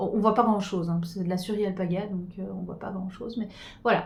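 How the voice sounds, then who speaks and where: A woman's somewhat breathy voice is heard with audible room echo. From Switzerland, Geneva. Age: 40s. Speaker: knitting podcaster. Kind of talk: casual chat. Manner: halting.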